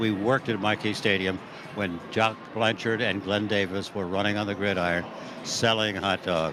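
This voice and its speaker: There is noticeable background noise behind this man's voice. He speaks at a moderate pace with a fairly low pitch and monotone, flat intonation. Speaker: public address announcer. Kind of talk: interview answer.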